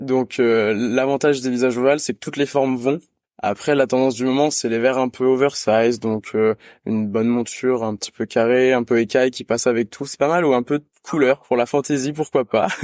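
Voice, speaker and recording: The sound is dry and close, with no echo. A man speaks at a medium pitch and a fairly quick pace with fairly even intonation. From France, countryside between Lyon and Grenoble. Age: 20s. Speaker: optician apprentice student. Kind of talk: interview. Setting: video call. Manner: hesitant with frequent fillers.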